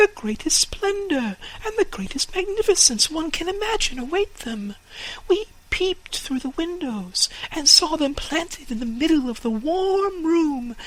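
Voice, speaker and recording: Over light background noise, a put-on character voice at an extremely high pitch moves at a moderate pace with very wide pitch swings. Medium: read story.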